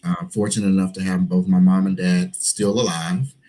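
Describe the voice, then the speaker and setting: A man with an Alabama accent talks at a moderate pace with a fairly low pitch and ordinary pitch variation. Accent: Southern US (Alabama). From US South, Gadsden, Alabama. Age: 40s. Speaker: preacher and HIV activist. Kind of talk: interview.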